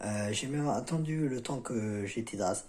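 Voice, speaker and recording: This man speaks at a fairly quick pace. His tone is dark and mellow. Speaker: self-help video creator. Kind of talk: casual vlog talk. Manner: halting, many fillers.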